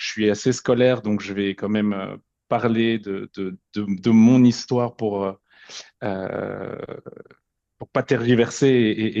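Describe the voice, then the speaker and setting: A man with fairly low pitch and monotone, flat intonation, in a dry, close sound with no echo and a quiet background. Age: 40s. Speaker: podcast guest sharing personal story. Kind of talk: personal testimony. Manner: halting, many repetitions and fillers.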